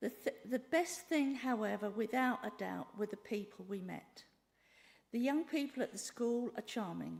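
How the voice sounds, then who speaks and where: Speaking at a moderate pace, a woman uses a fairly high pitch with ordinary pitch variation and vocal fry. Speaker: church trip volunteer. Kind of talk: prepared talk. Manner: loud.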